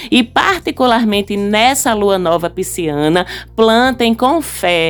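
A woman's fairly high-pitched voice with an animated tone and lively intonation. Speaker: astrology podcast host. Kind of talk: solo podcast monologue.

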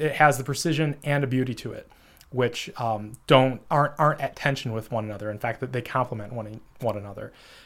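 A man speaks with an American accent at a fairly quick pace. His pitch is medium, with ordinary variation. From United States. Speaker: podcast host. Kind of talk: solo monologue on a novel. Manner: halting, many fillers.

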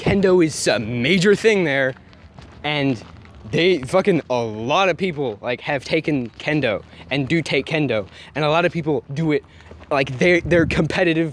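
A man talks at a fairly high pitch with ordinary variation. Long, frequent pauses break up his speech. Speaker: podcast host. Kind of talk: casual gaming rant. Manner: angry, profane, ranting.

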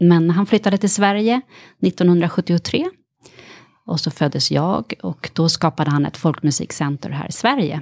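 This woman has an unremarkable speaking voice, fairly low in pitch, with lively intonation. She talks at a moderate pace, and the sound is dry and close with no echo. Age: 40s. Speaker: actress and author. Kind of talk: casual interview chat.

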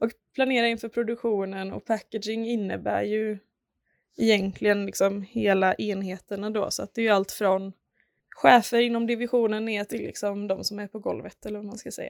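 In a very clean recording with a silent background, a woman at medium pitch speaks at a moderate pace in a flat monotone, her loudness swinging widely. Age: 20s. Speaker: packaging designer. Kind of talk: interview.

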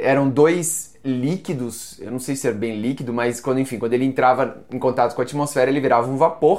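With hardly any pauses, a man of medium pitch speaks at a fairly quick pace. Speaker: book YouTuber. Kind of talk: book review video. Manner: animated.

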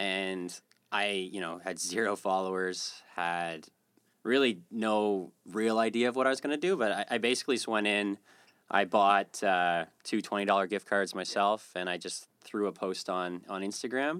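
This is a man with a normal speaking voice at a fairly low pitch, recorded very cleanly with a silent background. He talks at a moderate pace with ordinary pitch variation. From Atlantic Canada. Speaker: community project organizer. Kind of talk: casual interview.

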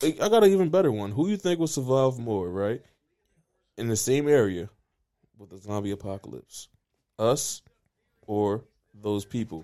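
A man with a medium pitch and a dark, mellow tone talks at a moderate pace with lively intonation. He leaves long, frequent pauses and has big swings in loudness, on a very clean recording with a silent background. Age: 20s. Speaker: podcast host. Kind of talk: casual chat. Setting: studio.

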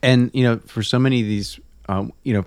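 At a moderate pace and with ordinary pitch variation, this is an ordinary speaking voice on a very clean recording with a silent background. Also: man. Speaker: magazine podcast host. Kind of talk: casual conversation.

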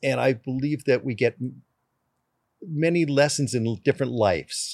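A man with an ordinary speaking voice, moderate pace and ordinary pitch variation on a very clean recording with a silent background. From Canada. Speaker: race car driver. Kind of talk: casual chat.

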